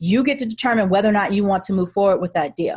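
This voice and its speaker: Somewhat breathy medium pitch from a woman, ordinary pitch variation, and a quiet background. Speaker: real estate attorney and investor. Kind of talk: webinar Q&A presentation. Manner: fast.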